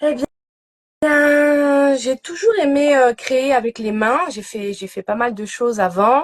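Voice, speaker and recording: A woman at high pitch, very slow yet lively in intonation, with a dry, close sound and no echo. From Normandy, France. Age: 30s. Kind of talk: interview on Instagram live. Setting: Instagram live video call. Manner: hesitant, many fillers.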